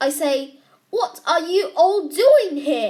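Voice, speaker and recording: Putting on a character voice, a woman speaks at a very slow pace in an extremely high pitch. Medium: read story.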